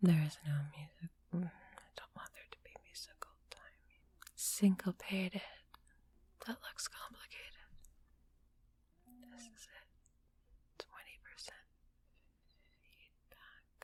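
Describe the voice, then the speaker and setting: The delivery is a very slow whisper. Frequent pauses stretch long. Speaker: composer. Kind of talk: muttering while working on audio.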